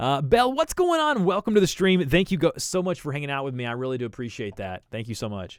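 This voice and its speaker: A man with an American accent talks at a very fast pace with hardly any pauses. His fairly high voice shows very wide pitch swings and big swings in loudness. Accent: Southern US, can tone it down. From US South. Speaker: videographer and YouTuber. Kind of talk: live stream chat and editing tutorial. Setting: live stream at editing computer.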